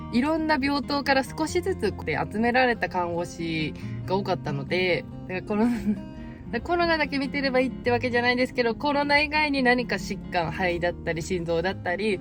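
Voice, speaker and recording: A woman speaks at a medium pitch and a fairly quick pace, her pitch swinging very widely. Music plays in the background. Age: 20s. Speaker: nurse. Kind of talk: talk answering viewer questions.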